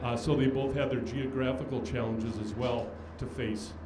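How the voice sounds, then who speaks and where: Fairly quick, medium-pitched male speech amid noticeable background noise and audible room echo. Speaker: aviation history speaker, airline scheduler. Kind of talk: speech at event. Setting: on a boat with audience. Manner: halting, many fillers.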